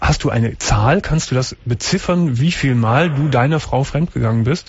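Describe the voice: A man's medium-pitched voice with a slightly husky edge, ordinary pitch variation and a moderate pace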